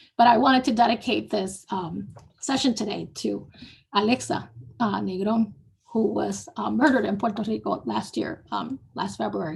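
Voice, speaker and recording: Doing a put-on character voice, a woman speaks at a moderate pace with a raspy, medium-pitched sound. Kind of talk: formal speech. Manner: solemn, dedicating a session.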